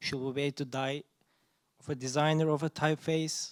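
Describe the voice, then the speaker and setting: Monotone, flat intonation marks this man's speech in a non-native accent. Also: very clean recording, silent background. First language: not English. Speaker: audience member. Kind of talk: audience question. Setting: audience at a talk. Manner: halting.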